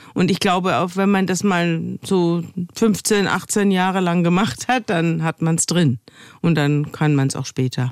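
In a plain, everyday voice, a woman speaks fairly slowly at a fairly low pitch with ordinary pitch variation, in a dry, close sound with no echo on a very clean recording with a silent background. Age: 60s. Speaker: journalist and podcaster. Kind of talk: interview.

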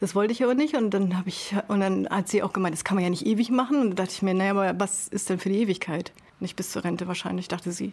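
Ordinary pitch variation marks this speech, which goes at a very fast pace. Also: woman, medium pitch for a woman. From northern Germany, Sylt. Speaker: carpenter. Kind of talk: casual chat. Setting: over lunch.

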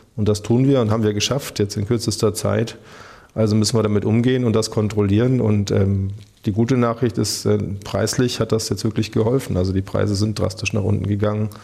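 Somewhat breathy and fairly low, a man speaks at a fairly quick pace with monotone, flat intonation and very even loudness. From Germany, Rhineland-Palatinate (Pirmasens). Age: 40s. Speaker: politician, federal maritime coordinator. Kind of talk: radio interview. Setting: government office.

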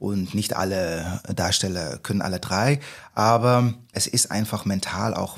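The pitch rises and falls in an ordinary way. The recording is very clean, with a silent background. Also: man. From Netherlands. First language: Dutch (speaking German). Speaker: musical actor. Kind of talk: casual chat.

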